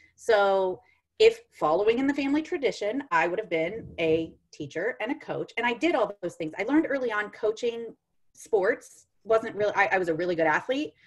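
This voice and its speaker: Loud and fairly high-pitched, a woman's voice swings very widely in pitch. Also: moderate pace. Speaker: sales coach, former math teacher. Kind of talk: casual interview chat.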